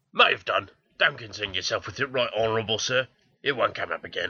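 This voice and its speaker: This put-on character voice is raspy and races along at a very fast pace. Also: man, medium pitch for a man. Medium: comedy sketch.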